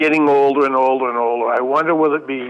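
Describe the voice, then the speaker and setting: A man talks at a moderate pace in a medium pitch, his intonation fairly even. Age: 60s. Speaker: musician caller. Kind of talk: call-in conversation.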